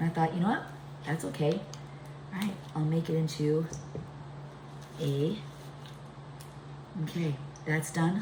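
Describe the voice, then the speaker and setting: Amid noticeable background noise, a woman with a very deep, low pitch speaks at a fairly slow pace with long, frequent pauses, fairly even intonation and very even loudness. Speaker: home cooking vlogger. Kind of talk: cooking tutorial. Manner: casual, chatty.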